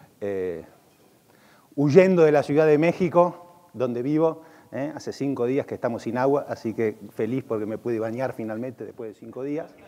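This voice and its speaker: At a moderate pace, a man of medium pitch speaks with lively intonation and big swings in loudness. Noticeable background noise runs behind him. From Argentina. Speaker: e-commerce consultant and conference speaker. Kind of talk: conference keynote. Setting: stage with audience at a conference.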